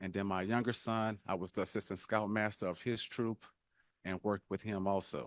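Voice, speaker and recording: A man in a New Orleans accent, fairly low-pitched and monotone, at a moderate pace, dry and close with no echo, over a quiet background. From New Orleans, Louisiana. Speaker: political candidate. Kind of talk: candidate forum speech. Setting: town hall forum in church fellowship hall. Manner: halting, many fillers.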